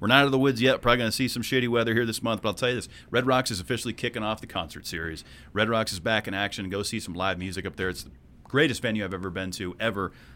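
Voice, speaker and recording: On a very clean recording with a silent background, a man talks very fast at a fairly low pitch, bright and sharp in tone, with ordinary pitch variation. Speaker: podcast co-host. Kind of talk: casual comedic podcast banter.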